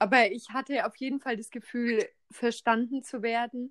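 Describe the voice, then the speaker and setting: A woman's fairly high voice, recorded dry and close with no echo. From Bavaria, then Rhineland-Palatinate. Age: 20s. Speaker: trainee care worker, podcaster. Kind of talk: casual chat.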